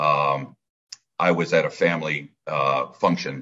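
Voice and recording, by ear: A man with an American accent speaks in a fairly bright tone with fairly even intonation.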